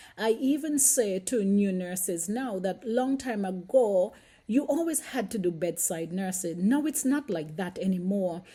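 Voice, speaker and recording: With a Caribbean accent, a woman speaks at a fairly slow pace with hardly any pauses, her tone dark and mellow and her intonation lively, in a very clean recording with a silent background. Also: medium pitch for a woman. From St Kitts, Caribbean. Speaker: nurse and vlogger. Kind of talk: casual vlog monologue. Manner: hesitant, with fillers.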